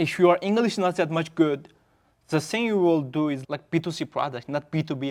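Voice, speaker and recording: A man with a non-native accent speaks at a moderate pace and fairly high pitch, his pitch varying in an ordinary way, on a very clean recording with a silent background. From Xinjiang, China (Uyghur). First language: Uyghur. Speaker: startup founder. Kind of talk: podcast interview. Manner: halting, with self-corrections.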